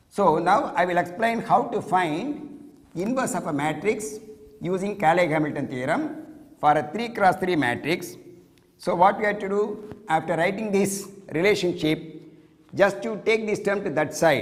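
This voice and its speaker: At a moderate pace, a man talks in a high voice with lively intonation, and audible room echo surrounds him. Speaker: mathematics lecturer. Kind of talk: lecture.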